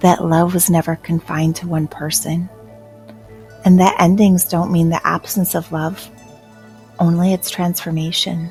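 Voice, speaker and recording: A woman speaks in a soothing, gentle tone at a fairly low pitch, her intonation monotone and flat. She leaves long, frequent pauses, with music playing in the background. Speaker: hypnotherapist, life coach. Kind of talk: guided hypnosis meditation. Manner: soothing, slow, gentle.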